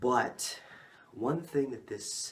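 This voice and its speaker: A man at a very slow pace, with audible room echo. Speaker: amateur history storyteller. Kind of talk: storytelling narration.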